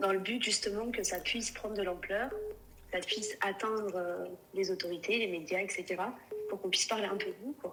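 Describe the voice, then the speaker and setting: Against noticeable background noise, a woman talks fairly quickly at a medium pitch with fairly even intonation. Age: 30s. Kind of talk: live call-in conversation. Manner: halting.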